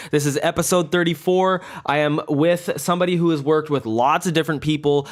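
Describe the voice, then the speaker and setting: An unremarkable speaking voice from a man, fairly high in pitch, with a fairly quick pace and fairly even intonation. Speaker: podcast host. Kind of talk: casual podcast interview.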